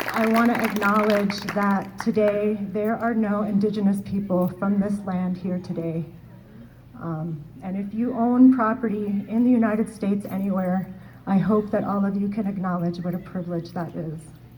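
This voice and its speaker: A woman's medium-pitched voice at a moderate pace, fairly even in intonation, with audible room echo. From Oneida Nation, North America. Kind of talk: closing speech. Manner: halting, many fillers.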